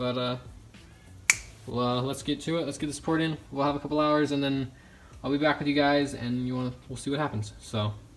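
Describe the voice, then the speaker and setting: Over music in the background, a man with a fairly high voice talks at a fairly quick pace, broken by long, frequent pauses. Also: fairly even intonation. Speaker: motorcycle hobby YouTuber. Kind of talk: casual video vlog. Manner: fast; hesitant, filler-heavy.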